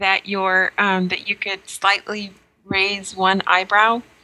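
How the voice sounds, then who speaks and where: Her speech comes at a very slow pace. A woman talks in an American accent. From New Mexico, US. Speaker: podcast co-host. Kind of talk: casual chat.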